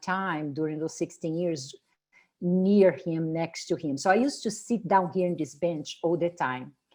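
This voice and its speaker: Here a woman speaks in a fairly low voice at a fairly slow pace. The background is quiet. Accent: Brazilian Portuguese. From Brazil. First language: Portuguese. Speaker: spiritual tour leader and wellness presenter. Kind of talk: product presentation. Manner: halting.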